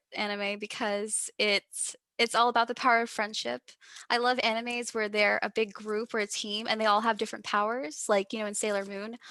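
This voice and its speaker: A woman talks with an American accent at a fairly high pitch and moderate pace. Her tone is bright and sharp, in a very clean recording with a silent background. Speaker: musician. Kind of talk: casual chat. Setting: podcast interview. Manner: animated.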